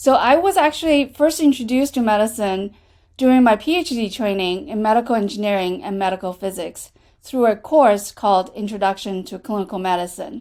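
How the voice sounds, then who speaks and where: A woman's fairly high voice in a Chinese accent, fairly quick, with lively intonation. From China. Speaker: associate dean, clinician scientist. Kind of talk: prepared remarks at online town hall. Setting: video call.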